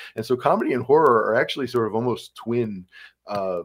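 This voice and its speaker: A man with a Midwestern American accent speaks at a fairly quick pace on a very clean recording with a silent background. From Ohio, Cleveland. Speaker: college English professor. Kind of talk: interview conversation. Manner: halting, many fillers.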